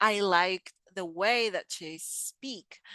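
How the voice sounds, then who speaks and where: In a very slow pace, a woman with a bright, sharp tone and medium pitch speaks with a non-native accent and ordinary pitch variation, the sound dry and close with no echo against a quiet background. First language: not English. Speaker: English teacher. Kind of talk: tutorial.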